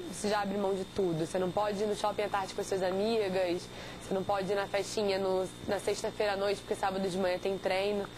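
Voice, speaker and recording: Noticeable background noise sits behind a woman's voice. She talks at a fairly quick pace with a medium pitch. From Rio de Janeiro, Brazil. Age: 20s. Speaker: competitive swimmer. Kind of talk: interview.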